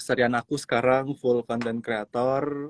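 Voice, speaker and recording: A man's medium-pitched voice in dry, close sound with no echo. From Palu, Central Sulawesi. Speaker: content creator. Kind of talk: casual interview. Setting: Instagram live stream.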